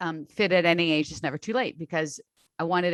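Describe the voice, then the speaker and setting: Recorded very cleanly against a silent background with a dry, close sound and no echo, a woman with a plain, everyday voice talks at a fairly quick pace and fairly low pitch with ordinary pitch variation. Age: 60s. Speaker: online strength coach. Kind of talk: interview conversation.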